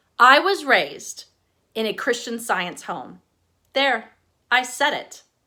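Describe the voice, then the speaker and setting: Speaking with a Texan accent, a woman has a fairly high, bright and sharp voice. She talks at a fairly slow pace with lively intonation. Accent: Texas accent, subtle. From East Texas. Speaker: author. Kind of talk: casual introduction; reading aloud.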